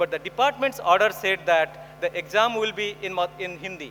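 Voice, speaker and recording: A man's raised, projected voice, high-pitched, with lively intonation, a moderate pace, and noticeable background noise. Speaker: education specialist, conference speaker. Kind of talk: conference talk. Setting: stage with audience.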